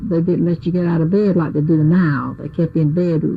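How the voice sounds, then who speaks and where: A woman with an American accent speaks at a fairly low pitch, her intonation fairly even over noticeable background noise. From Ocracoke, North Carolina. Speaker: nurse and midwife's assistant. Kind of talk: oral history interview answer.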